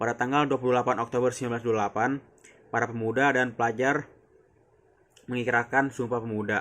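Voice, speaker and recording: This man talks at a very fast pace in a flat, monotone delivery. He leaves long, frequent pauses. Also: medium pitch for a man. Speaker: university student. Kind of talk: class presentation reading slides. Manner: formal, slightly halting.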